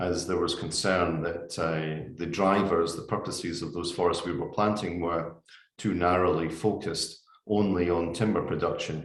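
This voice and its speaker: A man speaks in a Scottish accent at a moderate pace. His very deep, low voice stays monotone and flat. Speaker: forestry industry speaker. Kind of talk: webinar presentation. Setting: online webinar. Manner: measured, with frequent filler 'uh'.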